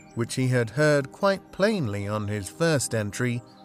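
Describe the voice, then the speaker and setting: A man at a fairly slow pace with lively intonation, music in the background. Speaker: narrator. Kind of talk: audiobook reading. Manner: calm, relaxing.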